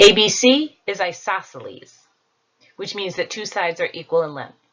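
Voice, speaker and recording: At a moderate pace, a woman with an ordinary speaking voice and medium pitch uses lively intonation, her loudness swinging widely. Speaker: school teacher. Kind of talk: homework tutorial.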